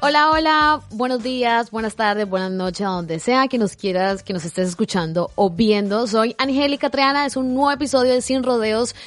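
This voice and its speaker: A woman talks in an unremarkable speaking voice with a fairly high pitch and lively intonation. She keeps a moderate pace with hardly any pauses. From Colombia. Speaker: podcast host. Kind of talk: casual interview.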